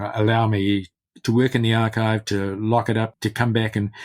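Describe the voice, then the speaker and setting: A man speaks at a moderate pace with a New Zealand accent, his pitch fairly low. His intonation is flat and monotone, and the recording is very clean with a silent background. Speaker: literary scholar and biographer. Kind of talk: interview. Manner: halting, many repetitions.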